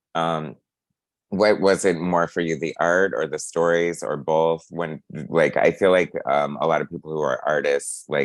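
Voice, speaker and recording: With an American accent and vocal fry, the speaker keeps a moderate pace and fairly even intonation. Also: man. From Ohio, US Midwest. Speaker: interviewer, channel host. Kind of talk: interview.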